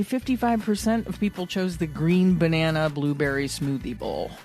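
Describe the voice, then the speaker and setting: A woman's fairly quick, nearly pause-free speech with very wide pitch swings, over background music. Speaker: podcast co-host. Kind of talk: casual podcast conversation.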